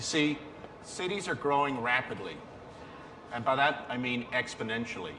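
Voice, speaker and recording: A man speaks at a moderate pace, his voice carrying audible room echo amid noticeable background noise. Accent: Belfast. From Northern Ireland, Belfast. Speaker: business executive speaking at a conference. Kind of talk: conference presentation.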